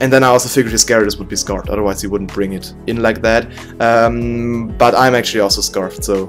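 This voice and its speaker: A man at a medium pitch with ordinary pitch variation, music in the background. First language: not English. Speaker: gaming commentator. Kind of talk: game commentary narration. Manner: hesitant, stutters at times.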